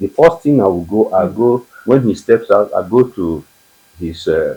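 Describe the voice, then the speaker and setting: With a Nigerian accent, a man speaks at a fairly slow pace in a medium pitch, his tone dark and mellow and somewhat breathy. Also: lively intonation. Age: 80s+. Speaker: war veteran. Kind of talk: interview answer.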